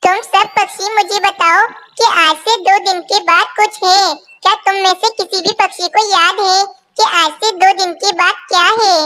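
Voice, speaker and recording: A female-sounding, cartoonish character voice at an extremely high pitch and a moderate pace. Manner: demanding, a little petulant.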